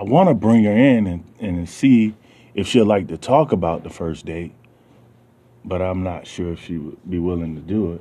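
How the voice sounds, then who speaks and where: With a Southern US accent, a man talks at a moderate pace in a very deep, low pitch, his tone dark and mellow, his pitch variation ordinary, and the background quiet. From US South. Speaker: radio show host. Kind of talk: casual monologue. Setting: basement home studio.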